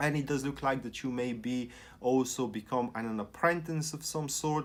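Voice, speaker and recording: A man with a non-native accent on a very clean recording with a silent background. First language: not English. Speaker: tarot reader. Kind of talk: tarot reading monologue. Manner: halting.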